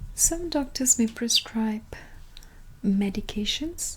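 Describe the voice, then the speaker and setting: A gentle, soft-spoken tone. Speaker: ASMR roleplay creator playing a clinic consultant. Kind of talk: soft-spoken ASMR medical consultation roleplay. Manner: soft-spoken, gentle.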